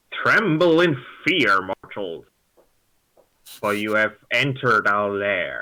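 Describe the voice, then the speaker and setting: Using a put-on character voice at medium pitch, a man speaks at a very slow pace with long, frequent pauses. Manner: menacing, theatrical.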